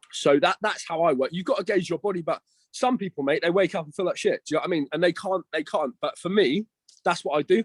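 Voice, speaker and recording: In a southern English accent, a man speaks at a very fast pace with a high pitch and ordinary pitch variation. The sound is dry and close, with no echo. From Isle of Wight, southern England. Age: 20s. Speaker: online fitness coach and bodybuilder. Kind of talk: casual chat.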